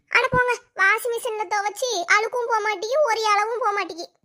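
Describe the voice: A woman performs a cartoonish character voice at an extremely high pitch. She keeps a moderate pace.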